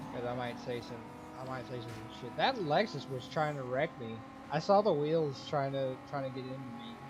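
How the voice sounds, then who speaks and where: A man whispers quietly, with big swings in loudness. Music plays in the background and audible room echo is present. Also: moderate pace. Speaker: gaming YouTuber. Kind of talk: gameplay commentary. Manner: quiet, near whispering; casual, halting.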